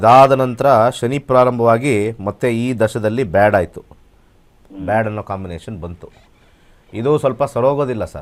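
This man has a normal speaking voice, medium in pitch, with ordinary pitch variation. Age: 50s. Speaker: astrologer. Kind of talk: live call-in astrology consultation.

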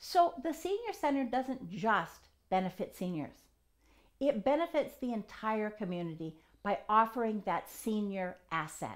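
A woman's voice with very wide pitch swings over a quiet background. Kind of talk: interview answer. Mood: warm, earnest. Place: home room. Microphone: lapel.

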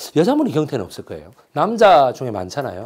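This man's fairly high voice carries vocal fry and an animated tone, swinging very widely in pitch at a moderate pace. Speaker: history lecturer. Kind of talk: lecture. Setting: lecture room with audience. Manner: loud.

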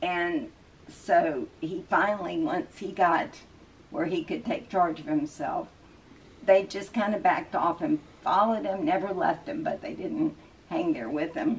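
A woman with a fairly low pitch speaks at a fairly slow pace with ordinary pitch variation.

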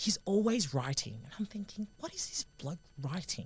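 In an Australian accent, a woman speaks with lively intonation and vocal fry. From Sydney, Australia. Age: 20s. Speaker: rugby union player and sports commentator. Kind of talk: podcast interview answer. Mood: warm, thoughtful, lightly humorous. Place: studio. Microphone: studio mic.

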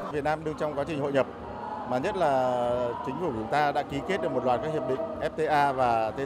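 Over clear background noise, a man speaks at a medium pitch and a moderate pace with ordinary pitch variation.

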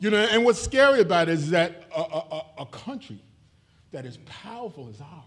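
A high-pitched man speaks at a moderate pace. His voice makes big pitch swings.

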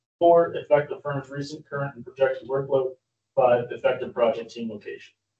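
A man talks at a fairly quick pace with audible room echo against a quiet background. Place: meeting room.

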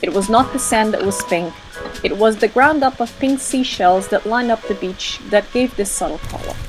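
Music plays in the background. The speech moves at a moderate pace with lively intonation. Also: woman. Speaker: travel vlog narrator. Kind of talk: documentary narration.

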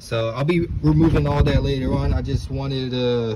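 A man speaks at a moderate pace. Noticeable background noise can be heard. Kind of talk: tutorial. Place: garage. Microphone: phone near.

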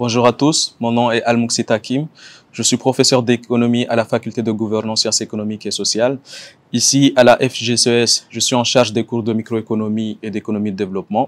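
Here a man talks at a moderate pace. His intonation is monotone and flat. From Comoros. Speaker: economics professor. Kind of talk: self-introduction video. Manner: hesitant, many fillers. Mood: calm, measured. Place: garden.

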